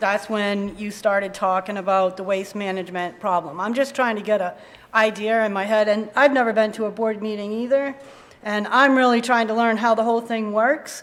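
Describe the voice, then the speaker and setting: Audible room echo surrounds a woman with an American accent. Her fairly high voice moves at a fairly quick pace with fairly even intonation. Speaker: resident speaking at town meeting. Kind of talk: public comment at town meeting. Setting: town hall meeting with audience. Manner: loud.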